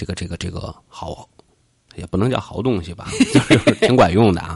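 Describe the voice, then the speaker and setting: A man talks in a playful tone with ordinary pitch variation. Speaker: podcast host. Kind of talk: casual chat. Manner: joking, playful.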